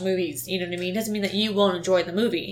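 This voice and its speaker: A woman talks in a medium pitch over noticeable background noise. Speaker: movie review podcast co-host. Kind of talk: casual chat.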